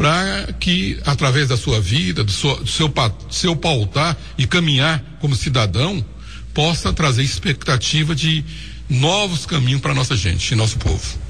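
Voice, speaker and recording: At a fairly slow pace, a man with a medium pitch makes very wide pitch swings while keeping his loudness very even. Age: 60s. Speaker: former mayor. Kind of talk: radio interview.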